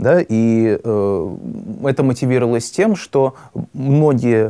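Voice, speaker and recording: This man's voice has a dark, mellow tone and sits at a medium pitch. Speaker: student podcaster. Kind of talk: reading newspaper excerpts and discussion.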